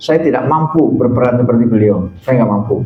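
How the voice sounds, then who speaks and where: There is audible room echo around the voice. A man speaks with ordinary pitch variation. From Central Java (Tegal). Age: old. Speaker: Islamic preacher and university lecturer. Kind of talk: religious talk to congregation.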